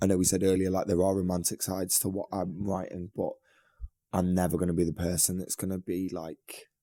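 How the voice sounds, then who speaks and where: Dry and close with no echo, this dark, mellow voice delivers flat, monotone intonation in a northern English accent. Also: man, very deep, low pitch for a man. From northern England, Manchester. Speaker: singer and guitarist in a band. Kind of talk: podcast interview. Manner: casual, many fillers.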